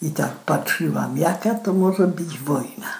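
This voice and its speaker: A woman talking at a very slow pace. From southern Poland. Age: 80s+. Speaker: war eyewitness. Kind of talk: oral history testimony.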